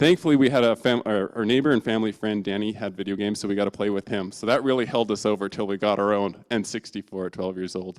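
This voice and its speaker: Recorded very cleanly with a silent background and a dry, close sound with no echo, a man speaks fairly quickly at a fairly low pitch with ordinary pitch variation. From Canada. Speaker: church intern giving a talk. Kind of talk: sermon. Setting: church. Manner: casual, animated storytelling.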